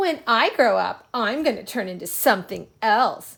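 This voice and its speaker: A woman puts on a character voice at a fairly high pitch with very wide pitch swings. She keeps a moderate pace on a very clean recording with a silent background. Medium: read story.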